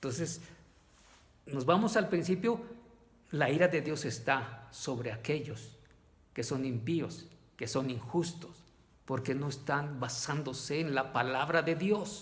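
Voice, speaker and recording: A man's fairly high, somewhat breathy voice at a very slow pace, with lively intonation, long, frequent pauses and audible room echo. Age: 60s. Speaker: lay preacher. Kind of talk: sermon. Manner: halting.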